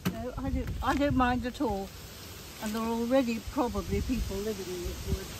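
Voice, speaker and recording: There is audible room echo along with noticeable background noise. Through it, a woman speaks at a fairly quick pace. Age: 80s+. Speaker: gardener. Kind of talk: garden demonstration. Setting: outdoors.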